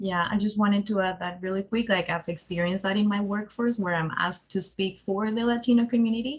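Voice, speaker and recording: Speaking at a very fast pace with hardly any pauses, a woman uses a somewhat breathy, medium-pitched voice and fairly even intonation. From Colombia. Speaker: community fellow. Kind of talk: webinar discussion.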